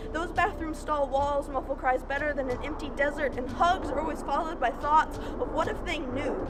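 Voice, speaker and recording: A woman with a high voice talks at a fairly quick pace with hardly any pauses and fairly even intonation. Background noise is noticeable throughout. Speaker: spoken word poet. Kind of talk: slam poetry performance. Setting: outdoors.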